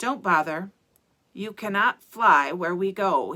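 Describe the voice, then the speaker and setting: In a put-on character voice, a woman speaks raspily at a medium pitch and a fairly slow pace. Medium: read story. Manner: drawling, sardonic.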